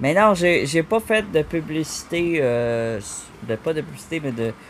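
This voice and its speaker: Using lively intonation, a man speaks at a fairly high pitch. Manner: slurred, loosely articulated.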